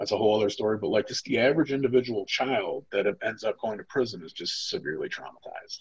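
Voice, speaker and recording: A man with a somewhat breathy voice at medium pitch talks at a very fast pace. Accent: American. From Toledo, Ohio, US Midwest. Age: 40s. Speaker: formerly incarcerated trauma educator. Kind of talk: training lecture with personal testimony. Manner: casual, filler-heavy speech.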